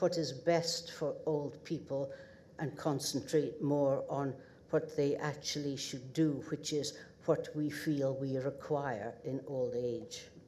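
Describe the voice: A dark, mellow tone in a northeast Scottish accent, slow in pace and fairly even in intonation. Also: woman.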